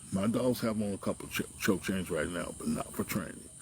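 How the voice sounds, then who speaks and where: Noticeable background noise sits under a man whose fairly low voice, with ordinary pitch variation, moves at a moderate pace. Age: 60s. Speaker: dog trainer. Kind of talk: casual vlog talk. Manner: conversational, frequent tag questions.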